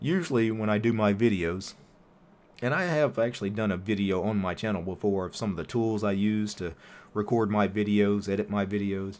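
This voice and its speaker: Relaxed in tone, a man speaks at a fairly quick pace with fairly low pitch and ordinary pitch variation. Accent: American. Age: 40s. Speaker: YouTuber. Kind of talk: live stream chat while gaming. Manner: casual, relaxed.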